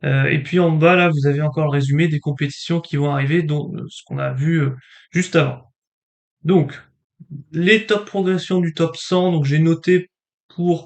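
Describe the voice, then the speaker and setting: Delivery is fairly slow with long, frequent pauses and fairly even intonation. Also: man, fairly high pitch for a man. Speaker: table tennis YouTuber. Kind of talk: casual commentary on rankings. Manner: hesitant, many fillers.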